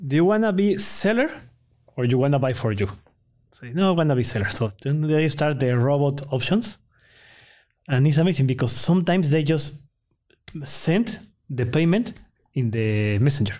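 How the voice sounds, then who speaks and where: In a Spanish accent, the speaker uses a dark, mellow tone and lively intonation at a moderate pace, with long, frequent pauses. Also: man. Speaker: entrepreneur. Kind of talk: interview. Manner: halting.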